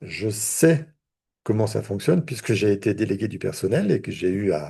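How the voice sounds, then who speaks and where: A fairly low-pitched male voice with a dark, mellow tone, at a fairly slow pace over a quiet background. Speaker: therapist and trainer. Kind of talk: online training lecture. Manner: hesitant, repeats words.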